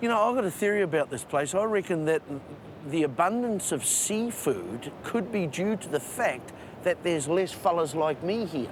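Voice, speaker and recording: Lively intonation at a moderate pace in a New Zealand accent, with noticeable background noise. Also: man, high pitch for a man. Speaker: travel show presenter. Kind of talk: presenting to camera; casual chat.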